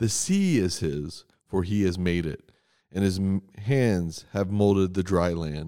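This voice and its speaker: A man speaks in a solemn tone with a very deep, low pitch. His voice is dark and mellow, with ordinary pitch variation. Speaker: church worship leader. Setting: church morning prayer recording. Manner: earnest, solemn and measured, with pleading intensity; formal, reverent, steady cadence.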